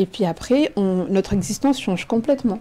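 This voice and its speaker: The speaker is a woman with a medium pitch. Her pace is moderate. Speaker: teacher and writer. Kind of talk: radio interview answer. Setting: studio.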